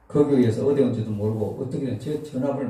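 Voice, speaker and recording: His words come out very rapidly, the man's voice sitting mid-range with a mostly level melody. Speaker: pastor and revival preacher. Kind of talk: lecture. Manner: conversational, casual.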